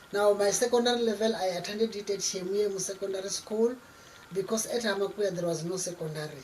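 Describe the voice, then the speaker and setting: A woman talks at a very fast pace with fairly even intonation, and noticeable background noise is present. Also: medium pitch for a woman. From South Africa, Limpopo. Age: 60s. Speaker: community leader. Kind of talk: interview.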